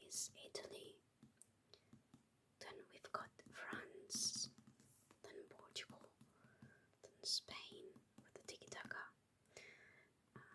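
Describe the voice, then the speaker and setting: The speaker whispers very slowly, with long pauses that come often. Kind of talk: ASMR whispered talk about books. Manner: whispered.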